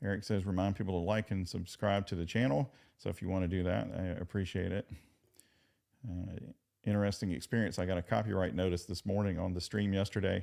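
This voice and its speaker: A very deep, low male voice in a Southern US accent, dark and mellow, fairly quick, with ordinary pitch variation. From Virginia. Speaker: legal commentary streamer. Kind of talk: live stream chat commentary. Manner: casual, halting with fillers.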